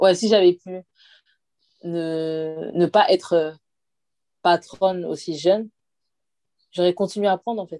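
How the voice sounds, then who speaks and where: In a dry, close recording with no echo, a woman speaks at a fairly slow pace in a fairly low voice. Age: 20s. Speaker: hairdresser and salon owner. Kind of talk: interview. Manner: casual.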